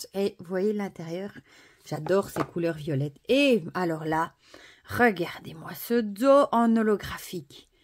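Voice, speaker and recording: A woman with a Belgian accent speaks at a very slow pace in a medium pitch, with lively intonation and big swings in loudness. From Belgium (Wallonia). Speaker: oracle deck reviewer. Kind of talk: product review / unboxing. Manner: animated, enthusiastic; hesitant, many fillers.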